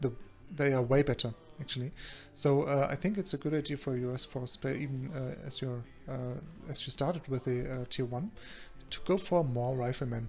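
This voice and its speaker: Somewhat breathy and at a fairly quick pace, a man of medium pitch speaks in a German accent, leaving long, frequent pauses. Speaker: video game coach and commentator. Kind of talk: game replay commentary. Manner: halting, many fillers.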